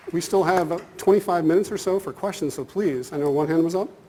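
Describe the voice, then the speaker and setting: Against noticeable background noise, a man with a high pitch speaks at a fairly quick pace with ordinary pitch variation. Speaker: business school professor. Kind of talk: conference lecture. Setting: conference hall with audience. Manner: fast.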